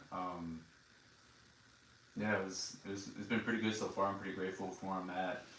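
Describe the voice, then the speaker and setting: Speaking in an American accent, a man uses a very deep, low pitch and a monotone, flat intonation at a fairly quick pace. Noticeable background noise and audible room echo surround him. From Texas. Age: 20s. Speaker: Air Force member. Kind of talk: interview. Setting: video recording. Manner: halting.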